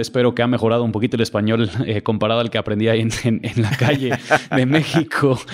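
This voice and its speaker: A man speaks with monotone, flat intonation. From Mexico City, raised by US missionary parents. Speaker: pastor. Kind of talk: podcast interview. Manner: hesitant, many fillers and repetitions.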